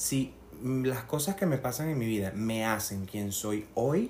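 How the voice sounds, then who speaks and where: Very slowly and somewhat breathily, a man talks with a Venezuelan accent at a medium pitch with ordinary pitch variation. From Venezuela, Barinas. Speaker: candle maker. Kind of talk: casual chat.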